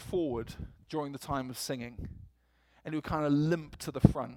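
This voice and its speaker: An animated man at a moderate pace with a fairly high pitch. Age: 40s. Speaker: preacher. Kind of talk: sermon. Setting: church. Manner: animated, humorous.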